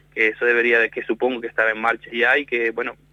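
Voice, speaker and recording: Talking at a very fast pace, a man speaks with a Canarian accent. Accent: Canarian Spanish, still noticeable. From Canary Islands, Spain. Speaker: wetland ecologist. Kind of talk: radio interview. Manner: halting.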